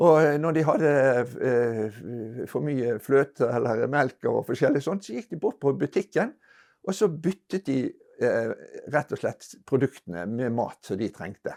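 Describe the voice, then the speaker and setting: A man speaks at a moderate pace and a fairly high pitch with very wide pitch swings on a very clean recording with a silent background. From Norway, Bergen. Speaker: retired botanist recalling research. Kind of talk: storytelling interview. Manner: halting, many hesitations.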